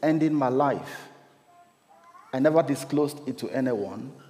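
Noticeable background noise plays beneath a man who keeps a moderate pace. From Cameroon. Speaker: lay preacher. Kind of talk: sermon.

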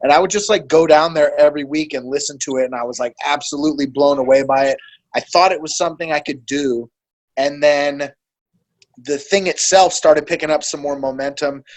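A man with an American accent, a plain, everyday voice, fairly high pitch, fairly even intonation and a fairly quick pace. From Monterey, California. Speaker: battle rapper and professional poker player. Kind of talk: casual chat.

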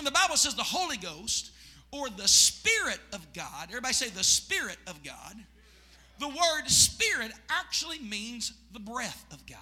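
A man talks at a moderate pace. His extremely high voice makes very wide pitch swings. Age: 40s. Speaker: pastor. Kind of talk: Pentecostal evening sermon, call-and-response preaching. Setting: church service with congregation. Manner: fervent, rising preacher cadence with shouted congregation prompts; repetitive, rhythmic emphasis with restarts.

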